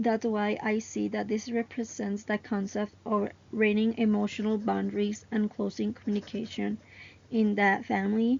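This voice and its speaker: With a strong Mexican accent, a woman speaks at a moderate pace in a somewhat breathy, monotone, flat delivery. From Mexico. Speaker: student. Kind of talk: class presentation. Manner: some halting and self-repairs.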